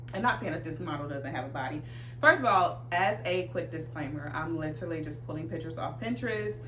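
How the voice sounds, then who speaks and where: A woman's very deep, low voice, very fast and animated with lively intonation, amid audible room echo and noticeable background noise. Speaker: fashion vlogger. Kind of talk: casual chat. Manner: loud.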